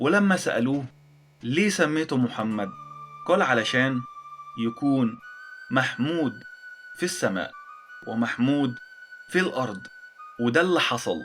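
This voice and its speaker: Music plays behind a man with lively intonation and very even loudness. He leaves long, frequent pauses. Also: medium pitch for a man, fairly slow pace. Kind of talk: educational history narration. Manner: simple, heartfelt.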